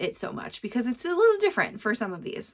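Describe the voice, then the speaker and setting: A woman in a very clean recording with a silent background. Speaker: knitting podcaster. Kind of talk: casual monologue. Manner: fast.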